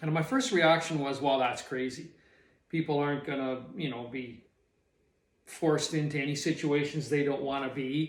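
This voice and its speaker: Audible room echo surrounds a man with a western Canadian accent, whose fairly high voice moves at a moderate pace in a monotone, flat line. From Canadian prairies. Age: 60s. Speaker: retired small business owner. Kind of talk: personal reflection monologue. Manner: halting.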